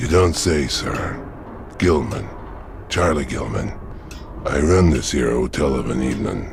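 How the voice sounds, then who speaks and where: Over clear background noise, a man puts on a gruff character voice, very deep and low, at a moderate pace with long, frequent pauses. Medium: video game. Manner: gruff, evasive.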